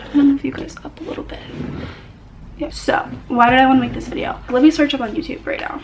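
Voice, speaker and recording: A woman speaks over background music, with audible echo in the room. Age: young. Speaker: student vlogger. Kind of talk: casual vlog monologue. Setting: dorm study room. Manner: fast.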